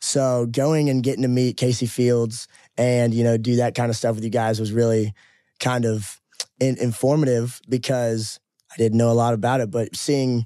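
With an American accent, a man speaks at a moderate pace in a dark, mellow tone. His medium pitch has fairly even intonation and very even loudness. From US Midwest, southern Illinois. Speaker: country singer. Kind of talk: casual chat.

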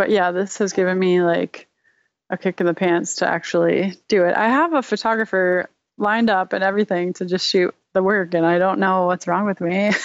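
A woman speaks at a medium pitch and a fairly quick pace in an unremarkable speaking voice, with fairly even intonation and very even loudness. The sound is dry and close with no echo, and the background is quiet. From Rochester, New York. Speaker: designer and illustrator. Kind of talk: casual interview chat.

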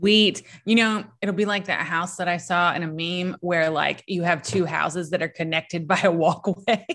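An unremarkable speaking voice from a woman, fairly low in pitch, at a moderate pace with hardly any pauses and fairly even intonation, on a very clean recording with a silent background. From US South, southeast Virginia. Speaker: podcast host, witch. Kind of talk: casual chat.

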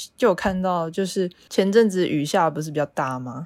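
A plain, everyday voice from a woman, with lively intonation at a moderate pace, on a very clean recording with a silent background. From Taiwan, half Yilan. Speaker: podcast co-host. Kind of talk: casual chat.

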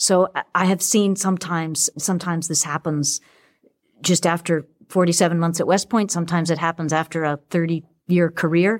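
A woman speaks in a normal speaking voice with an American accent, fairly low in pitch and fairly even in intonation, at a moderate pace in a very clean, dry, close recording with a silent background and no echo. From Boston, Massachusetts. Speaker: English professor and author. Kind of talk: interview conversation.

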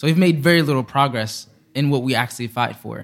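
In a normal speaking voice, a man talks at medium pitch and a fairly quick pace with fairly even intonation. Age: young. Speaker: climate activist. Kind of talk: interview.

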